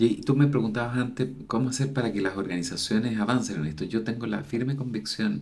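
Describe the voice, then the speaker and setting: The man's voice sits at a fairly low pitch with vocal fry. He talks at a moderate pace with ordinary pitch variation. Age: 60s. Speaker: university dean, psychologist. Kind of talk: interview conversation.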